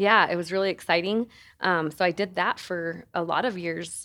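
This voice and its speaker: In an American accent, a woman with a plain, everyday voice talks at a fairly slow pace and medium pitch, keeping her intonation fairly even. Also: very clean recording, silent background. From Colorado, San Luis Valley. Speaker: nonprofit executive director. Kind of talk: casual interview.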